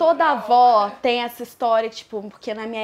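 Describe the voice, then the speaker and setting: Speaking at a fairly slow pace, a woman has a plain, everyday voice with a fairly high pitch. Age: young. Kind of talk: interview answer.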